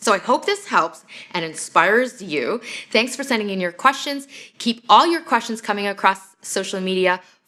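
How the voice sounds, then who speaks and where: A woman with a Canadian accent and an ordinary speaking voice talks at a fairly quick pace with lively intonation. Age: 40s. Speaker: personal coach / vlogger. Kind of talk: advice vlog answering viewer question. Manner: earnest, conversational with fillers.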